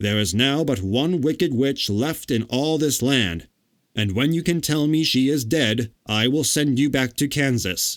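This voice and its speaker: A man does a put-on character voice at medium pitch and a moderate pace, in a very clean recording with a silent background. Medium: read story. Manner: stern, commanding.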